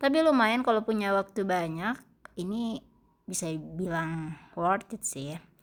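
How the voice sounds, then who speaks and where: A woman's medium-pitched voice with lively intonation at a fairly slow pace, on a very clean recording with a silent background. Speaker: travel vlogger. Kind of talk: vlog narration. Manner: casual, halting.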